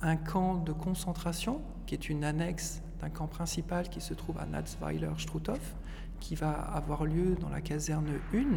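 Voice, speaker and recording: Noticeable background noise accompanies fairly slow speech. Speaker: association vice-president and dentist. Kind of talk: guided tour talk. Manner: halting.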